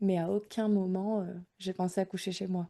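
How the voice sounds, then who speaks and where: A woman's medium-pitched voice with a dark, mellow tone, moderate pace and fairly even intonation. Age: 30s. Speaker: mother sharing home birth story. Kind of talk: podcast interview testimony. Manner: hesitant, many fillers.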